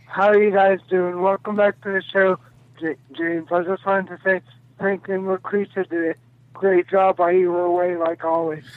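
The speaker talks at a moderate pace with an American accent and monotone, flat intonation. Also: man, high pitch for a man. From Texas. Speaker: caller. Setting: phone call.

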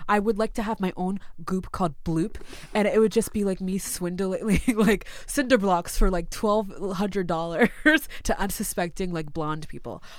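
Using an unremarkable speaking voice, a woman with an American accent talks at a moderate pace. Her pitch is medium, with ordinary variation. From Massachusetts. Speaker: comedian and writer. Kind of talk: casual chat. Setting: studio.

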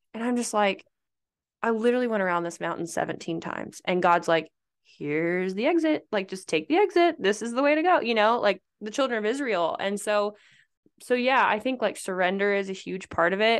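Against a quiet background, a woman with a normal speaking voice talks at a fairly quick pace with lively intonation. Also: fairly high pitch for a woman. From Nebraska. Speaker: pageant coach and former beauty queen. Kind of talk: casual chat.

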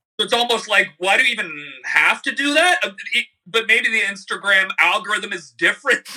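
A man with a Canadian accent speaks in a raised, projected voice at a moderate pace with ordinary pitch variation. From Canada, Niagara area. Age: 30s. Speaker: YouTube musician and comedian. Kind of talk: casual interview chat.

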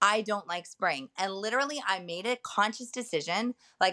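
In a very clean recording with a silent background and a dry, close sound with no echo, a woman talks at a fairly quick pace in a normal speaking voice, with medium pitch and ordinary pitch variation. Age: 30s. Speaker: content creator and mother of seven. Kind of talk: casual chat.

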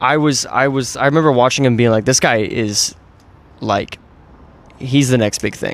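With fairly even intonation, a man speaks at a medium pitch and a moderate pace, leaving long, frequent pauses. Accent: American. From US, Orange County, California (Mission Viejo). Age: 30s. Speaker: actor and screenwriter. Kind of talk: casual interview chat.

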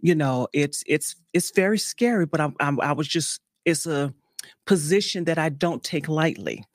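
Her voice is very deep and low for a woman, with ordinary pitch variation at a moderate pace. The sound is dry and close with no echo, on a very clean recording with a silent background. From New Orleans, Louisiana. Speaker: state politician. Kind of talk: interview.

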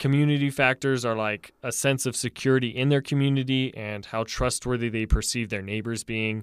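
An unremarkable speaking voice from a man, fairly quick and fairly even in intonation with hardly any pauses, on a very clean recording with a silent background. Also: medium pitch for a man. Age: 20s. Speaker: university student and podcast co-host. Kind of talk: casual chat.

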